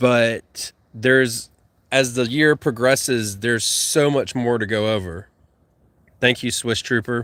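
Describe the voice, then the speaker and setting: Fairly slow delivery in a Southern US accent with fairly even intonation, on a very clean recording with a silent background. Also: man, medium pitch for a man. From US South. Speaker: gardening YouTuber and podcast host. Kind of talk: livestream chat reading viewer comments. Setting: YouTube livestream. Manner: slurred words.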